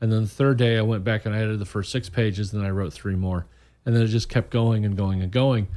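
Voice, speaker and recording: In a very clean recording with a silent background, a dark, mellow voice with an American accent runs at a very fast pace with fairly even intonation. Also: man, fairly low pitch for a man. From Indiana, US Midwest. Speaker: author. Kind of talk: casual radio interview. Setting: studio.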